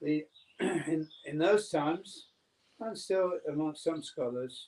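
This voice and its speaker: Very slow speech from a man, fairly high in pitch, with ordinary pitch variation. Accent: English. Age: 60s. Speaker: spiritual teacher. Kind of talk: lecture with consecutive interpretation. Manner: halting.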